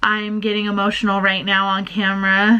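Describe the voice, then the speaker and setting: A woman speaks with a bright, sharp tone. Her pace is fairly slow. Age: adult. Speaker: book vlogger. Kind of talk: vlog diary, emotional talk to camera.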